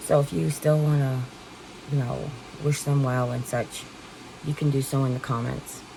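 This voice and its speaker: Noticeable background noise accompanies a woman with a very deep, low pitch. She talks fairly slowly, with ordinary pitch variation. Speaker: vlogger with stage 4 kidney cancer. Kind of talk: casual talk to camera.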